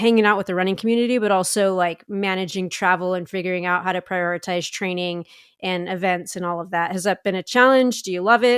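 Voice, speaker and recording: On a very clean recording with a silent background, a woman talks at a very fast pace and a medium pitch with fairly even intonation. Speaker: podcast host, runner. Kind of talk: podcast conversation.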